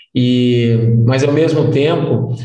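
A man speaks with monotone, flat intonation. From Brazil (Goiás), partly raised in London. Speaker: timeshare and resort industry executive. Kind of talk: interview conversation. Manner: casual, with many hesitations.

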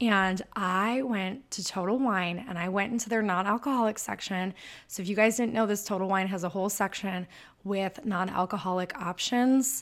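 A woman with a Michigan accent speaks in an enthusiastic, animated tone at a medium pitch and moderate pace, with ordinary pitch variation, on a very clean recording with a silent background. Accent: northern US (Michigan). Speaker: sober-living podcaster. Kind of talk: casual solo podcast monologue.

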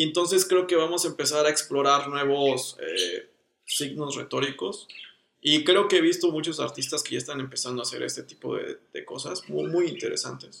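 Someone talks at a moderate pace in a Mexican accent. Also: man. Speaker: designer, podcast co-host. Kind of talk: casual chat.

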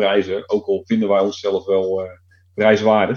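Here a man speaks in a normal speaking voice. His intonation is lively. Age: 40s. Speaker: IT consultant. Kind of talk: casual chat.

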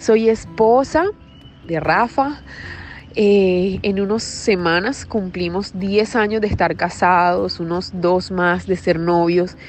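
Over noticeable background noise, a woman speaks at a very slow pace and a medium pitch with ordinary pitch variation. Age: 30s. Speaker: wellness podcaster. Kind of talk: personal monologue. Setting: outdoors.

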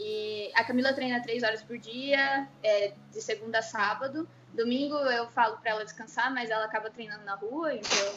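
A woman with a fairly high pitch and ordinary pitch variation, hardly any pauses, and noticeable background noise. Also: moderate pace. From Curitiba, southern Brazil. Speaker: parkour coach and physical education teacher. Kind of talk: interview. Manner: casual, laughs often.

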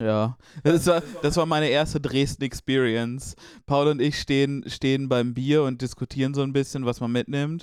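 A man's unremarkable speaking voice with fairly even intonation. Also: fairly high pitch for a man, moderate pace. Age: 20s. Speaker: podcast co-host. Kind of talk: casual chat. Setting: in a room together.

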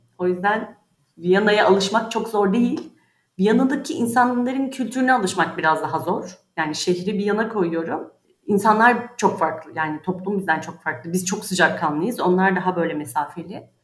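Speaking at a moderate pace, a woman uses lively intonation at a medium pitch. Her voice is somewhat breathy. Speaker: insurance specialist. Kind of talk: interview.

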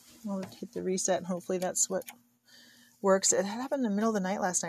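A woman's somewhat breathy, medium-pitched voice at a very fast pace, with ordinary pitch variation. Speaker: solo podcaster on homesteading. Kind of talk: casual monologue. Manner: spontaneous, unscripted.

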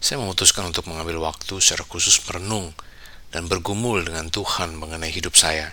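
The tone is calm yet bright and sharp. Intonation stays fairly even at a fairly quick pace. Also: man. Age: 40s. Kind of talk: scripted devotional monologue. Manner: calm reflective reading.

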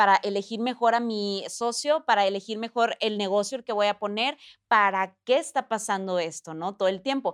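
On a very clean recording with a silent background and a dry, close sound with no echo, a woman with a Mexican accent speaks at a moderate pace with hardly any pauses. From Mexico. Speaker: TV presenter and entrepreneur. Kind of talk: casual interview.

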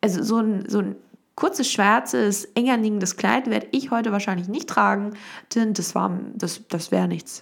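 A woman's medium-pitched voice with vocal fry, an animated tone, ordinary pitch variation and a moderate pace. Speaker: podcast host. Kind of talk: casual monologue. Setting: at home in the kitchen. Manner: halting.

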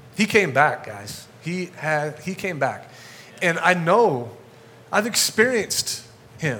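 A man talks at a high pitch and a very slow pace, with very wide pitch swings and big swings in loudness. Long, frequent pauses break up his speech over noticeable background noise. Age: 40s. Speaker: guest pastor. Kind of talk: sermon. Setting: church with congregation.

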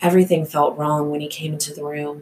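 Soft-spoken and gentle in tone, a woman has a very deep, low pitch. Her intonation is fairly even. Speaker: thriller author and podcast host. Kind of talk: reading aloud from own novel. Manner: soft and gentle-sounding.

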